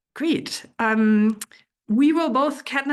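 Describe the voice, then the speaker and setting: With a German accent and ordinary pitch variation, a woman speaks over a quiet background. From Germany. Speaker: geoscience researcher and speaker. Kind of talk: presentation talk. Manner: halting with fillers.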